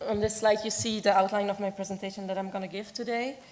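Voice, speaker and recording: A woman with a Dutch accent talks at medium pitch in a monotone, flat intonation. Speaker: objects conservator. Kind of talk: conference presentation.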